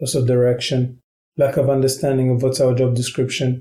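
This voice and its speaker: The voice is somewhat breathy, with a dark, mellow tone. It moves at a fairly quick pace in a monotone, flat intonation. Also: man. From Qatar. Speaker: ambassador. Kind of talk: interview conversation.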